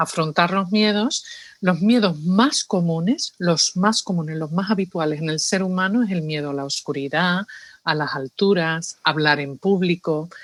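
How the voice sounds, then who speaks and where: Speaking with an Andalusian accent, a woman keeps a fairly slow pace, her fairly low voice showing ordinary pitch variation. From New York, Spanish family from Seville. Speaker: psychologist. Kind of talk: interview.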